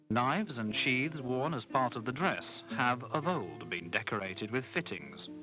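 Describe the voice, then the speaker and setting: A man talks at a moderate tempo while music plays behind him. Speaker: documentary narrator. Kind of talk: documentary narration. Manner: soft-spoken.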